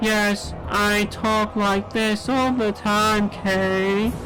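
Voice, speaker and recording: A female-sounding put-on character voice, medium in pitch, at a very slow pace over loud background noise. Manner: annoying.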